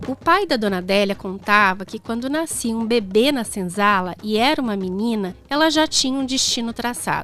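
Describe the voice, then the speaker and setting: With music in the background, a woman talks at a moderate pace in a fairly high voice with lively intonation and hardly any pauses. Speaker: podcast presenter. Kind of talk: documentary podcast narration.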